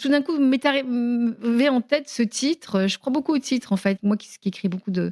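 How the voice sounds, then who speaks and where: A woman's dark, mellow tone with lively intonation at a moderate pace, dry and close with no echo, on a very clean recording with a silent background. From Tunisia. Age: 70s. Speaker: writer and journalist. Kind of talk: interview. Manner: hesitant, many fillers.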